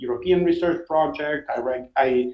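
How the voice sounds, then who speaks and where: With an Italian accent, a man speaks at a moderate pace. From Italy, Rome. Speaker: science journalist. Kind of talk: interview. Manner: halting, many fillers.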